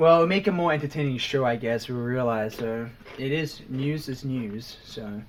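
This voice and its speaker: A man's medium-pitched voice at a moderate pace, with ordinary pitch variation and noticeable background noise. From Australia. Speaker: podcast co-host. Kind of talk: casual chat.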